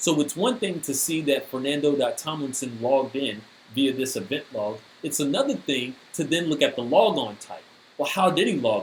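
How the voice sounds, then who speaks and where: A plain, everyday voice from a man, fairly high in pitch, with ordinary pitch variation at a moderate pace. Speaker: cybersecurity speaker. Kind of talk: technical presentation.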